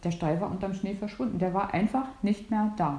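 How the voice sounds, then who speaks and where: A woman's somewhat breathy voice with fairly even intonation and audible room echo. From northern Germany, near Stralsund. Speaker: host's sister. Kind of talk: casual chat.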